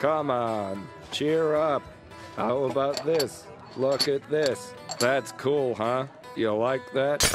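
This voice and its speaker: Over clear music in the background, a man does a cartoonish character voice. His pitch is medium, and his pace is very slow. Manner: eager, upbeat then anxious.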